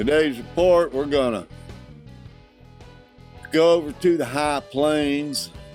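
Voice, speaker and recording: A man with an American accent at a very slow pace, with music in the background. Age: 60s. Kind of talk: casual talk to camera.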